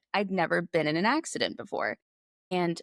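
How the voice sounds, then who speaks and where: The woman has an unremarkable speaking voice at a medium pitch. The sound is dry and close, with no echo. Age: 30s. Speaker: podcast guest, car crash survivor. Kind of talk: personal testimony in conversational interview.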